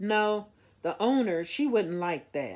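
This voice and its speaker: A put-on character voice sits at a fairly high pitch and mumbles. It moves at a fairly slow pace. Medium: read story. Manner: mumbling, hesitant.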